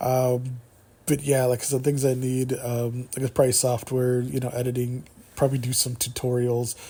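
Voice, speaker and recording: This man's voice is somewhat breathy, with a dark, mellow tone and a medium pitch. He talks at a fairly quick pace. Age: 40s. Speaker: solo radio-style YouTube host. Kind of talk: casual solo talk show monologue. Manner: halting, many repetitions and fillers; stutters and stammers at times.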